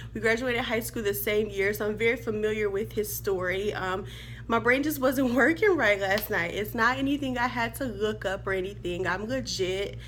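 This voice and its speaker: A woman's animated, fairly high-pitched voice at a moderate pace, with ordinary pitch variation and audible room echo. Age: 30s. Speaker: sports vlogger. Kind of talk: casual vlog commentary.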